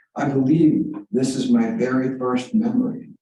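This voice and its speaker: A man with an American accent talks amid audible room echo. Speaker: author. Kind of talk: reading aloud; casual chat. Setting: library reading room with audience. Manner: halting.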